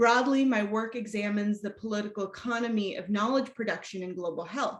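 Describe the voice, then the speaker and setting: Somewhat breathy, a woman talks at a fairly quick pace and a fairly high pitch with ordinary pitch variation. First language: Spanish. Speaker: academic researcher. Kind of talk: lecture. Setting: video call. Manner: formal.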